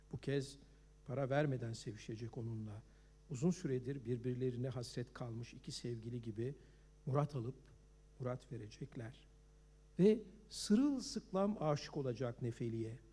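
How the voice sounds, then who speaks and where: A man speaks at a moderate pace, somewhat breathy, in a dark, mellow tone. He leaves long, frequent pauses. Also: medium pitch for a man, ordinary pitch variation. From Turkey. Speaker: novelist. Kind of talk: reading aloud.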